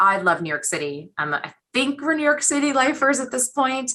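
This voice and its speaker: A woman with an American accent talks at a fairly quick pace. Her bright, sharp tone moves through very wide pitch swings. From US Northeast, Boston suburbs. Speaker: executive search consultant. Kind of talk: interview. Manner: fast.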